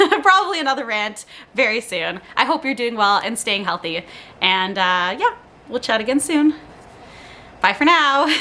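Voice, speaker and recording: A high-pitched woman's voice with very wide pitch swings and an animated tone, long, frequent pauses, and noticeable background noise. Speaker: lifestyle vlogger. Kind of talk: casual monologue. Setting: home, on living room floor. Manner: fast.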